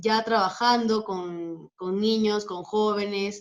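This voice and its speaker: Delivered at a very slow pace, a woman's speech holds a medium pitch. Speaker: dance teacher and marinera champion. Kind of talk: interview.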